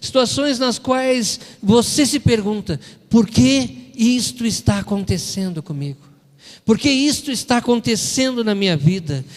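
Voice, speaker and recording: A man with a southern Brazilian accent speaks at a high pitch in an animated tone. His pitch swings very widely, and his pace is fairly slow. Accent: gaúcho (southern Brazilian). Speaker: preacher. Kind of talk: sermon. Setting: church.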